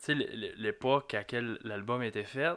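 A man with a Lac-Saint-Jean accent speaks very slowly at medium pitch, with ordinary pitch variation and a bright, sharp tone, in a very clean recording with a silent background. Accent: Lac-Saint-Jean Quebec French. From Quebec, Lac-Saint-Jean. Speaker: music fan guest. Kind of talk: casual chat. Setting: small studio. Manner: halting, repeated words.

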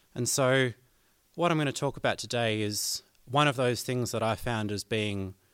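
This male voice sits at a medium pitch and shows ordinary pitch variation. There is a very clean recording with a silent background. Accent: Australian. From southern Australia. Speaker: banjo player, guest host. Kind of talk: educational talk on music theory.

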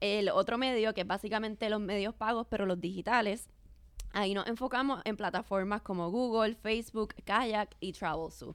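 Her pitch is fairly high and her intonation fairly even, delivered at a moderate pace. The woman has a plain, everyday voice. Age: young. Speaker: marketing director. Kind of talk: interview.

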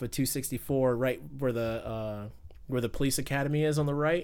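Using an ordinary speaking voice, a man with an American accent talks at a medium pitch and moderate pace with fairly even intonation. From US South, Fayetteville, North Carolina. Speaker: podcast guest, car enthusiast. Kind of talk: casual chat. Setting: party in the background.

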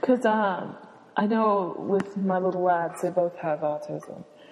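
The speaker is soft-spoken, with a dark, mellow tone and ordinary pitch variation. The pace is very slow. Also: woman. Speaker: podcast co-host. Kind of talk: casual chat.

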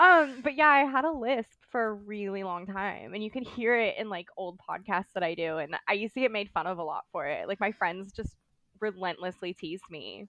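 A woman's medium-pitched voice, bright and sharp in tone, with a Southern California accent, lively intonation and a moderate pace. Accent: American, Valley Girl.

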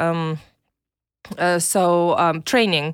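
On a very clean recording with a silent background, a woman speaks at a medium pitch with a Belarusian accent. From Belarus, Minsk. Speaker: online marketer and podcast co-host. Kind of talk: interview.

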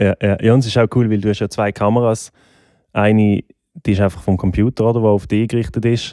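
A man's dark, mellow voice, fairly low in pitch and fairly quick, with fairly even intonation and very even loudness, dry and close with no echo, on a very clean recording over a silent background. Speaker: podcast host, musician. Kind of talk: casual interview. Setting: home studio.

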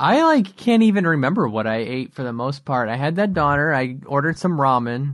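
Over a quiet background, a man with a fairly high pitch speaks in a normal speaking voice at a fairly quick pace with hardly any pauses. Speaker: podcast co-host. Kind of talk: casual chat.

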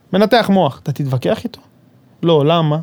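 Lively intonation and a fairly quick pace mark this man's high voice. His tone is dark and mellow. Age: 30s. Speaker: construction supervisor. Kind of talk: casual interview. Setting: studio.

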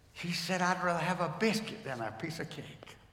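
With a North Carolina accent, a man speaks in a high voice over noticeable background noise. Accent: Southern US (North Carolina). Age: 80s+. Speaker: retired pastor. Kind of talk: sermon. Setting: church.

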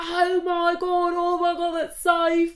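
This is a put-on character voice pitched extremely high. It moves at a moderate pace with monotone, flat intonation.

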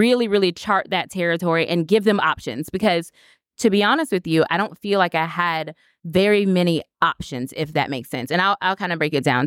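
With an American accent, a woman speaks at medium pitch with lively intonation and an unremarkable speaking voice, on a very clean recording with a silent background and a dry, close sound with no echo. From Florida. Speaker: dentist and coach. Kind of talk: interview. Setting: live at a conference.

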